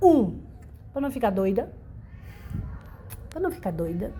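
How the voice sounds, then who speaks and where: A dark, mellow tone, somewhat breathy, with audible room echo. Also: woman. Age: 60s. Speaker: senior university student. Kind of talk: documentary interview.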